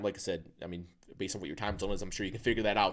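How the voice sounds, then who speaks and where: A man's voice with ordinary pitch variation in a very clean recording with a silent background. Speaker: YouTuber explaining stocks. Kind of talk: casual explainer monologue. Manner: fast; animated.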